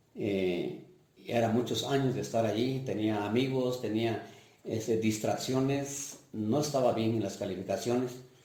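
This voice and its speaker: Against noticeable background noise and audible room echo, a man of medium pitch talks at a fairly slow pace, with fairly even intonation and very even loudness. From Mixtec region of Oaxaca, Mexico. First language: Mixtec (speaking Spanish). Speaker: parish priest. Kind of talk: life-story interview testimony. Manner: hesitant, with fillers.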